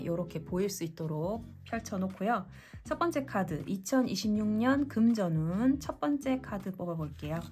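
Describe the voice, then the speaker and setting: Music plays in the background as a woman speaks in a calm tone at a medium pitch. Her intonation is lively and her pace moderate. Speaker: tarot reader. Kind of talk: tarot reading talk to camera. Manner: calm, clear.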